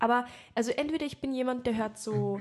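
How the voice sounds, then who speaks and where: Against a quiet background, a woman speaks very fast in a somewhat breathy voice with ordinary pitch variation. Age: 20s. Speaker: podcast co-host, actress. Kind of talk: casual chat. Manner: animated.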